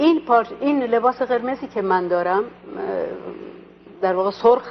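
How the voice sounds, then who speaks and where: Very wide pitch swings at a moderate pace, in an Azerbaijani accent. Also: woman. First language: Azerbaijani (speaking Persian). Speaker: stage actress. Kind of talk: interview. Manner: hesitant, many fillers.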